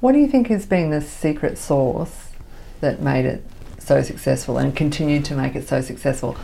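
Noticeable background noise sits under a woman's moderately paced speech. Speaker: podcast host. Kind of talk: casual interview chat.

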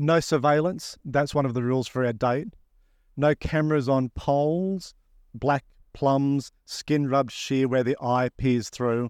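Here a man with an ordinary speaking voice talks at a fairly slow pace, pitched fairly high, with ordinary pitch variation and very even loudness. The sound is dry and close with no echo, against a quiet background. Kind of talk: poem performed live, reading aloud a written piece.

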